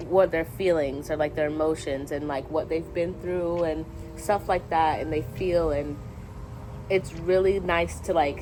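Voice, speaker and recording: A woman's very deep, low-pitched voice at a fairly slow pace with fairly even intonation. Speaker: lifestyle vlogger. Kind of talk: casual vlog with reading aloud. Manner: halting, stumbles over words.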